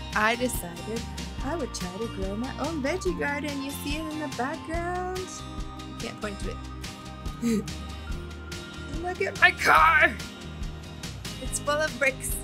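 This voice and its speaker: A woman speaks very slowly, leaving long, frequent pauses. Clear music plays in the background. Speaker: vlogger. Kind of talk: casual vlog chat. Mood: playful, animated. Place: garden. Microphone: phone near.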